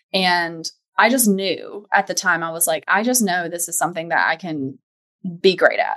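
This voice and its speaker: A woman with an American accent talks in an ordinary speaking voice. Her medium pitch shows ordinary variation, and her pace is moderate. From US South, Charlotte, North Carolina. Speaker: home organizing business owner. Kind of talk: casual interview chat.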